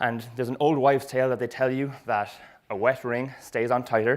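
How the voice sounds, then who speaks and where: A man with a Cork accent talks at a fairly quick pace, keeping his intonation fairly even. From Ireland, Cork. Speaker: retail marketing expert. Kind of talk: presentation talk. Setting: stage with audience.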